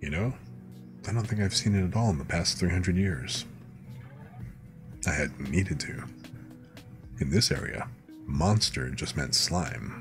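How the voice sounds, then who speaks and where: Against music in the background, a man with a very deep, low pitch talks at a fairly slow pace with very wide pitch swings and long, frequent pauses. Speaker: streamer reading light novels. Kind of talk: bedtime story reading. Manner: soft-spoken, relaxing.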